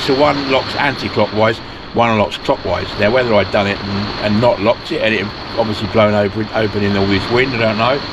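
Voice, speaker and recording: Noticeable background noise sits behind a man speaking at a fairly quick pace. His pitch is medium, with ordinary variation. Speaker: van life vlogger. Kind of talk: casual vlog chat. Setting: outdoors. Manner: loud.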